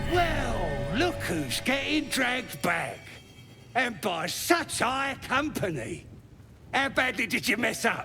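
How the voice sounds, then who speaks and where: A man's put-on character voice, extremely high in pitch and fairly slow, over clear background noise. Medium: machinima. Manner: mocking, coarse.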